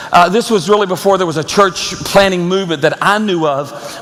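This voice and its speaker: There is audible room echo and noticeable background noise as a man with a high pitch talks with fairly even intonation. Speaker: pastor. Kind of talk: sermon.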